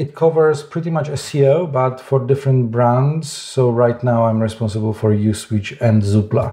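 At a moderate pace, a man with a Polish accent speaks in a somewhat breathy voice of medium pitch and a dark, mellow tone. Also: ordinary pitch variation. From Poland. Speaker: SEO director. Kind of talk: interview.

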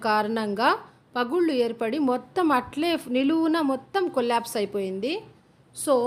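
A woman's high voice carries ordinary pitch variation. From Srikalahasti, Tirupati district, Andhra Pradesh, India. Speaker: travel and family vlogger. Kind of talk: vlog narration to camera.

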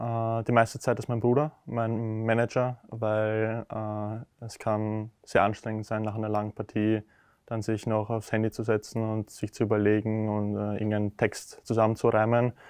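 A man's medium-pitched voice at a very slow pace, with big swings in loudness, a dry sound with no echo and a quiet background. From Austria, Lower Austria (Deutsch-Wagram); Lower Austria. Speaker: professional tennis player. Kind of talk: interview. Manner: hesitant with many filler sounds. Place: hall.

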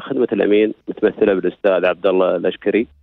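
A man talks at a moderate pace against a quiet background, the sound dry with no echo. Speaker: health authority administrator; guest. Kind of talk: radio interview. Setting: phone call. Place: studio.

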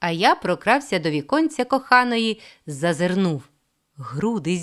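Against a quiet background, an unforced reading voice carries lively intonation.

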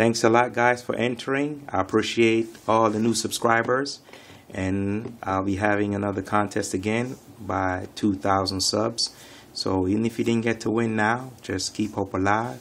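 At a moderate pace, a man talks in an unremarkable speaking voice, fairly low in pitch with fairly even intonation. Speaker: channel host. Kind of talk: casual vlog chat. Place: home room. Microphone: phone near.

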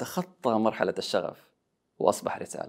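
Over a quiet background, the speaker goes at a fairly slow pace with lively intonation. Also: man. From Saudi Arabia. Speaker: public speaker and voice-over artist. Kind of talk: scripted personal story talk. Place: studio. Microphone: lapel.

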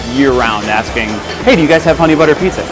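Clear music plays in the background while a man speaks with ordinary pitch variation. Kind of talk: interview answer. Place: cafe. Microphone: lapel.

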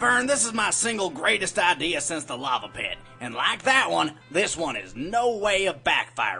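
Over clear music in the background, a man puts on a character voice pitched high. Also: moderate pace. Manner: folksy, cheerful drawl.

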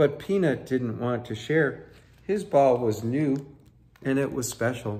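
Someone reads aloud in a natural voice, the pitch rising and falling in an ordinary way.

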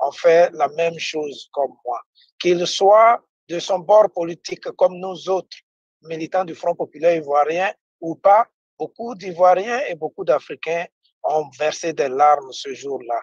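With a high pitch and ordinary pitch variation, a man speaks at a very slow pace, the sound dry with no echo over a quiet background. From Ivory Coast. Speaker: party representative; presenter. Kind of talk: political talk show debate. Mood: earnest, emotional political appeal. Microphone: video call.

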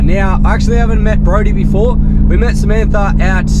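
Against loud background noise, a man speaks at a fairly quick pace in a dry sound with no echo. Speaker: travel vlogger. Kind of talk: casual vlog chat. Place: car. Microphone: phone near.

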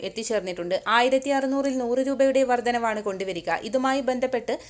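A woman speaks in a high voice against noticeable background noise. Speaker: news presenter. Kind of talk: news reading. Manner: formal.

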